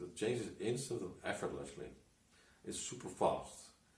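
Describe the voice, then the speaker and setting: Audible room echo around a somewhat breathy voice at a moderate pace. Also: man. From Netherlands. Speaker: hypnotist and coach. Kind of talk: personal story monologue. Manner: halting, many restarts.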